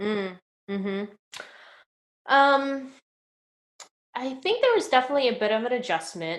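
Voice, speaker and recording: Very wide pitch swings at a moderate pace, broken by long, frequent pauses. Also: woman, high pitch for a woman. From Indonesia, Jakarta. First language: Indonesian. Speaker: tech product executive. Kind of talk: interview. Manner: casual, many fillers.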